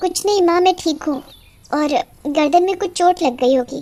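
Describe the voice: A cartoonish character voice rattles along at a fairly quick pace. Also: woman, extremely high pitch for a woman.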